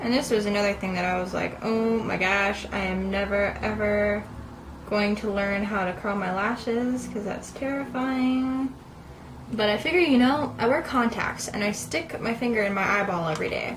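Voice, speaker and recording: Against noticeable background noise and audible room echo, a woman with an American accent speaks at a moderate pace and medium pitch with ordinary pitch variation. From Southern California. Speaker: beauty vlogger. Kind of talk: casual makeup tutorial chat. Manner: casual, chatty.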